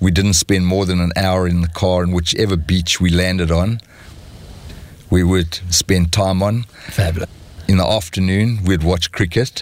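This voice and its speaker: A man's very deep, low voice at a moderate pace, with monotone, flat intonation, very even loudness and noticeable background noise. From South Africa. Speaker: entrepreneur and venture capitalist. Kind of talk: interview.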